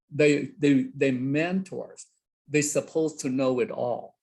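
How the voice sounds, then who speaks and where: In a Vietnamese accent, a man speaks at a fairly slow pace. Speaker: college instructor. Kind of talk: workshop discussion. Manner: halting.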